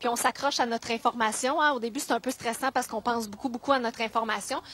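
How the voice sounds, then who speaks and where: A woman talks at a very fast pace in a high pitch. The sound is dry and close, with no echo. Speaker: TV weather presenter. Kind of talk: advice talk to schoolchildren. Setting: school visit. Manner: warm, encouraging.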